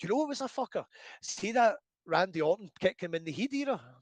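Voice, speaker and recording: A man with a Scottish accent talks very fast in a high pitch, swinging very widely up and down. The sound is dry and close, with no echo. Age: 40s. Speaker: professional wrestler. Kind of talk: casual interview chat. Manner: animated.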